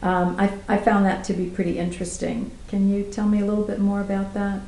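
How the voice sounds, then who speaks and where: A woman speaks at a fairly quick pace and a medium pitch. Her intonation is monotone and flat, with audible room echo. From Germany. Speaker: journalist and interviewer. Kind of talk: interview. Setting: apartment.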